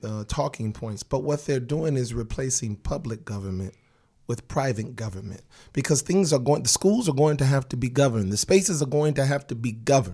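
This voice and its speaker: A man speaks at a fairly quick pace with a medium pitch, lively intonation and a somewhat breathy quality. The recording is very clean, with a silent background. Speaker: education activist. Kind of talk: casual interview chat.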